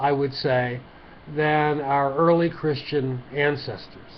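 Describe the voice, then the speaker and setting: Very slow in pace, a man with a mid-Atlantic accent speaks at a fairly high pitch. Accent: mid-Atlantic American. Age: old. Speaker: lay preacher. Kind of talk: short sermon to camera. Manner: halting, conversational.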